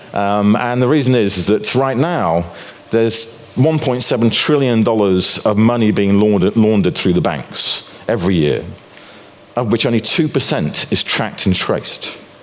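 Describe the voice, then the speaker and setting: Over noticeable background noise and audible room echo, a man with a European accent speaks at a moderate pace, his loudness very even and his intonation lively. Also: medium pitch for a man. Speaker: financial commentator and author. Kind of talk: conference talk. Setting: stage with audience.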